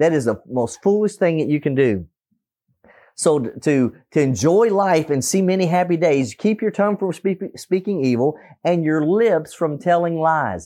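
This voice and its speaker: Against a quiet background, a man with a dark, mellow tone and a fairly high voice speaks at a moderate pace with lively intonation. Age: 50s. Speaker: preacher. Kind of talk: sermon. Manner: halting.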